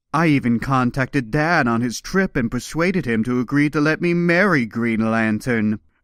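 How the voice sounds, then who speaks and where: Doing a put-on character voice, a man speaks at a moderate pace and medium pitch with lively intonation and hardly any pauses, in a very clean recording with a silent background and a dry, close sound with no echo. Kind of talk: comic book reading.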